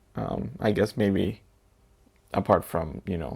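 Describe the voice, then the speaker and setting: A man with an American accent talks at a fairly low pitch. Vocal fry runs through his voice. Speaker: assistant language teacher and vlogger. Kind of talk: personal vlog monologue. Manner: low-pitched, subdued; hesitant, many fillers.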